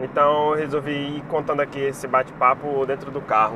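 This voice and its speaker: There is noticeable background noise behind this man. He speaks at a moderate pace in a fairly high pitch. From Brazil, Piauí (Teresina). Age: 30s. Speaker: bus enthusiast vlogger. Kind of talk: casual vlog chat. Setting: in a car, driving.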